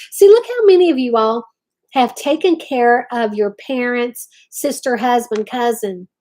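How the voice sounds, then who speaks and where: A woman's high voice in an Appalachian accent, dark and mellow in tone, with ordinary pitch variation and a moderate pace. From West Virginia. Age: 50s. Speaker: craft channel host. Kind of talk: casual live-stream chat.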